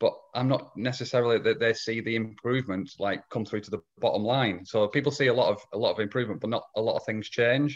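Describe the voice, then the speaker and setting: With a northwest English accent, a man at medium pitch talks very fast with hardly any pauses and fairly even intonation against a quiet background. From northwest England. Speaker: lean consultant and trainer. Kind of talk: casual interview. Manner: halting, repeats words.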